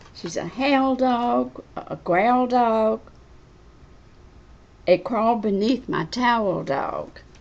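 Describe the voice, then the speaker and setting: The speaker talks at a very slow pace with ordinary pitch variation. Long pauses come often. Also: woman, fairly high pitch for a woman. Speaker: grandmother reading to her great grandson. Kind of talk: children's book reading.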